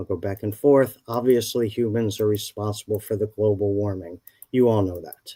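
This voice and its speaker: A man speaks with fairly even intonation and a fairly low pitch. The recording is very clean, with a silent background. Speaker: climate scientist. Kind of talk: lecture. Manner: fast.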